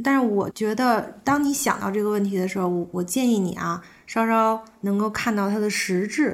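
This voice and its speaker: This woman has an ordinary speaking voice, fairly high in pitch with ordinary pitch variation, and she talks at a fairly slow pace. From Beijing, China. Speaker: yoga teacher. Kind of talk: casual interview conversation.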